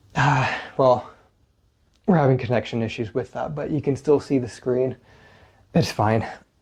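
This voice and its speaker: Somewhat breathy, a man speaks at a moderate pace and medium pitch with ordinary pitch variation, leaving long, frequent pauses. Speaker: physical therapist and fitness coach. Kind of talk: workout tutorial. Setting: home at night. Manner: soft-spoken.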